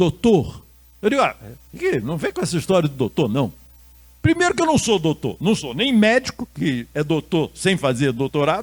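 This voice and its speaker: Using very wide pitch swings and vocal fry, a man speaks at a moderate pace with a fairly high pitch. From Rio de Janeiro, Brazil. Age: 70s. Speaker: Buddhist monk and lecturer. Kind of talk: lecture. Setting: stage with audience.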